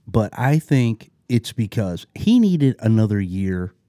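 Very slow pace from a man with an American accent, fairly low pitch, a dark, mellow tone and lively intonation, in a dry, close sound with no echo on a very clean recording with a silent background. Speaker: podcast host. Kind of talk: casual chat.

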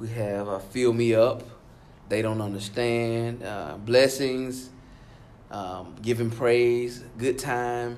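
A man with a Southern US accent at medium pitch, very slow and monotone with flat intonation, long, frequent pauses, and audible room echo. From Alabama. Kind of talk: interview.

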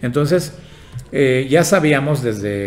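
A man talks with lively intonation. There is noticeable background noise and audible room echo. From Yucatán, Mexico. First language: Yucatec Maya (speaking Spanish). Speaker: engineer and institute director. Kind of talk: interview.

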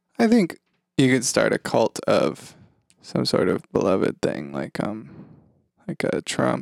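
A man speaks at a fairly slow pace, with long, frequent pauses. The sound is dry and close, with no echo. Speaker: podcast co-host. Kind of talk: casual chat.

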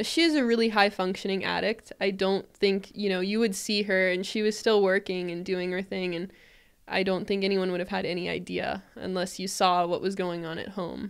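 This is a woman with a plain, everyday voice, medium in pitch, speaking at a moderate pace. Her intonation is fairly even, and the recording is very clean with a silent background. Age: 20s. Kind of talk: casual interview.

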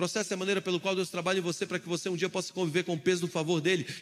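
Bright and sharp in tone, a man speaks with a high pitch and an animated tone. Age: 20s. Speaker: pastor. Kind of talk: sermon.

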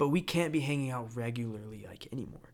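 A man with an American accent speaks in an ordinary speaking voice at medium pitch and a fairly quick pace, with ordinary pitch variation, on a very clean recording with a silent background. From Florida. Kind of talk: casual chat.

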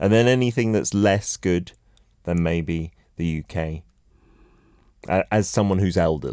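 Over a silent background in a very clean recording, a man with a very deep, low voice and a dark, mellow tone speaks at a fairly slow pace with ordinary pitch variation and long, frequent pauses. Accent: British. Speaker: radio host. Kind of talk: casual radio chat. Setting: radio studio. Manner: animated, laughs often.

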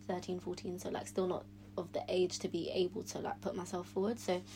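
Over noticeable background noise, a woman with a London accent speaks at a fairly quick pace. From South London, England. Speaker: former pageant queen, medical student. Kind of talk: podcast interview.

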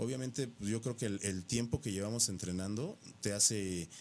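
A man speaking in an unremarkable speaking voice keeps a moderate pace and ordinary pitch variation, recorded very cleanly against a silent background. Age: 40s. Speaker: professional bodybuilder. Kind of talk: casual interview. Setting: radio studio.

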